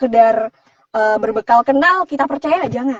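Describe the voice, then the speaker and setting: Here a woman speaks with a high pitch and ordinary pitch variation. The sound is dry and close, without echo. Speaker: voice-over artist. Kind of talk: live Q&A interview. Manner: casual conversational.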